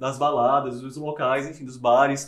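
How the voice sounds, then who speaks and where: Fairly high male speech at a moderate pace amid noticeable background noise and audible room echo. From Campina Grande, Paraíba, Brazil. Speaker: podcast host. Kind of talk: casual chat.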